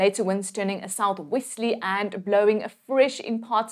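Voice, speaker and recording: A woman with a fairly high pitch speaks in a warm, upbeat tone against a quiet background. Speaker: weather presenter. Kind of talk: scripted weather forecast delivered to camera, brisk region-by-region rundown. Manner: brisk, steady informational delivery packed with place names and figures; warm, reassuring and upbeat toward viewers. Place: studio. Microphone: lapel.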